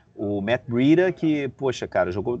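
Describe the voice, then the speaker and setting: Lively intonation runs through the speech. The voice is an unremarkable speaking voice. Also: man. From Brazil, Rio de Janeiro. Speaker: NFL podcast host. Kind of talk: casual sports chat. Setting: at a football stadium before a match.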